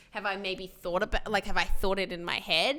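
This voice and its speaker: In a very clean recording with a silent background, a bright, sharp-toned voice moves at a fairly quick pace with ordinary pitch variation. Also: woman. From Australia. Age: 20s. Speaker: social media creator. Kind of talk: casual chat. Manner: animated.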